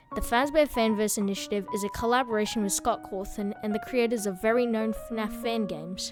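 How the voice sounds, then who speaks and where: Fairly quick delivery with hardly any pauses and ordinary pitch variation, music in the background. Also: woman, fairly high pitch for a woman. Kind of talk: video game lore explainer narration.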